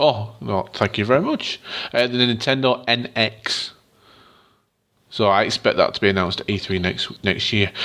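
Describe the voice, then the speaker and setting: A man speaks at a medium pitch and moderate pace with ordinary pitch variation. He leaves long, frequent pauses. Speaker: gaming podcast co-host. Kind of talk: casual chat. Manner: reading news from an article, script-like.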